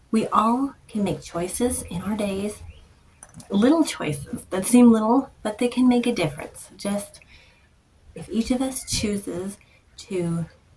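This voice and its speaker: Soft-spoken and at a very slow pace, a woman talks with long, frequent pauses amid noticeable background noise. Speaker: art content creator. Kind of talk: casual vlog talk to camera. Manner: hesitant, many fillers.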